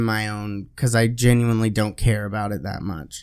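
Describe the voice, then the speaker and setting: A man is heard on a very clean recording. The background is silent. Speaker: podcast co-host. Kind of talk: casual chat. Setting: studio. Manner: loud; animated.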